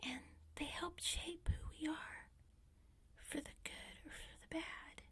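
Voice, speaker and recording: Whispering in a calm tone with an American accent, the speaker goes at a very slow pace. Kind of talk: soft-spoken ASMR talk to camera. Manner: soft-spoken, calm, relaxing.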